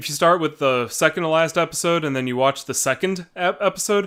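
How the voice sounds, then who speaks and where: The speech races along at a very fast pace with lively intonation, in an American accent. The tone is bright and sharp. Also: man, very clean recording, silent background. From United States. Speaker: YouTuber. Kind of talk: reading and reacting to viewer comments. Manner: casual, hesitant with repeats.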